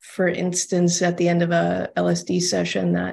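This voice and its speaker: Her voice sits at a medium pitch for a woman and carries a dark, mellow tone. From Texas, Austin. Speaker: breathwork facilitator and addiction counselor. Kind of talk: interview conversation.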